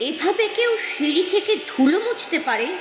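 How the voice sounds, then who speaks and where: A woman speaks with lively intonation while music plays in the background. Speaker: poetry reciter. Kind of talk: poetry reading. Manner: expressive, emotional.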